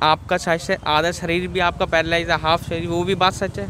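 High-pitched male speech with fairly even intonation, hardly any pauses, a dry sound with no echo and light background noise. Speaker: food vlogger. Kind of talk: interview question. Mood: respectful, sympathetic. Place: street.

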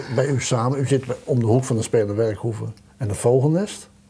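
A man's dark, mellow, somewhat breathy voice. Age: middle-aged. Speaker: local TV talk show host. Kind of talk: casual interview; scripted show outro. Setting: studio. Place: studio.

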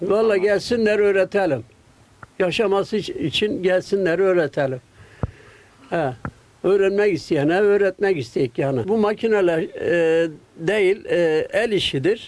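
A man speaks at a very slow pace in a high voice with ordinary pitch variation. His loudness stays very even. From Gaziantep, Turkey. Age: 80s+. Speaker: kilim weaver. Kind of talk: interview answer. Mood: earnest, concerned for craft. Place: workshop. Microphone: handheld.

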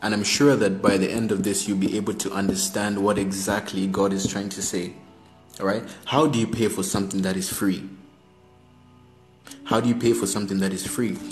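Over faint background music, a man with a fairly low pitch talks at a fairly quick pace with fairly even intonation. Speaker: preacher on a live stream. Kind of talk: sermon. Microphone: phone near.

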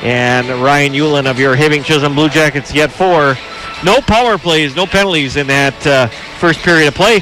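A man's fairly high-pitched voice, very even in loudness with ordinary pitch variation, against noticeable background noise. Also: moderate pace. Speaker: color commentator. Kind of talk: live sports broadcast analysis.

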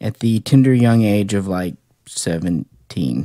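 Against a quiet background, a man talks at a fairly low pitch, the sound dry with no echo. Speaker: toy collector reviewer. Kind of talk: casual review chat. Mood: relaxed, nostalgic. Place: home room. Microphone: phone near.

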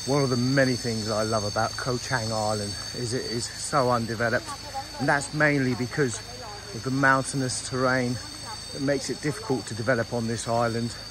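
Against noticeable background noise, the voice moves at a fairly quick pace in a dry sound with no echo. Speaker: travel vlogger. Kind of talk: casual vlog chat. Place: forest. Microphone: phone near.

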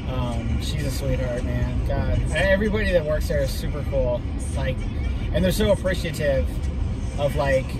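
Over loud background noise, a man speaks at a moderate pace, and the sound is dry with no echo. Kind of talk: casual conversation. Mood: warm, reverent. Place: car. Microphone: phone near.

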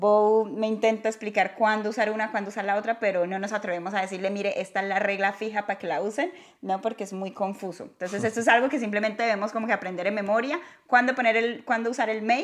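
A woman with a fairly high voice talks very fast with ordinary pitch variation over a quiet background. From Latin America. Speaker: YouTuber teaching English. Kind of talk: casual chat. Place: home room. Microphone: lapel.

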